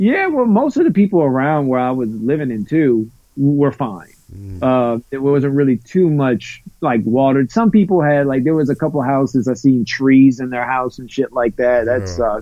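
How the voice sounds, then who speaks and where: Here a man talks with an American accent at a moderate pace. His medium-pitched voice has lively intonation. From US South, Louisiana. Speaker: podcaster. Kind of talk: casual chat. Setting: video call. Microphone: quiet.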